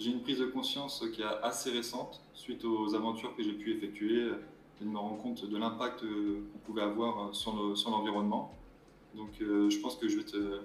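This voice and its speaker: Audible room echo surrounds a man's voice at a medium pitch. His intonation is monotone and flat. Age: 20s. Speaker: mobile gendarme and adventurer. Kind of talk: interview.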